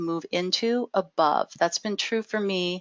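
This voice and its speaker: A woman talks at a very slow pace. Her medium pitch shows ordinary pitch variation. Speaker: webinar presenter. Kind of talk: tutorial. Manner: speeds up when excited; hesitant fillers and repetitions.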